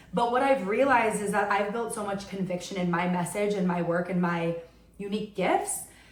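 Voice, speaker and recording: With an American accent, a woman talks at a fairly quick pace in an animated tone, her medium-pitched voice carrying lively intonation over audible room echo and noticeable background noise. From New York. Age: 30s. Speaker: podcast host. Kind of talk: solo podcast monologue. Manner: loud.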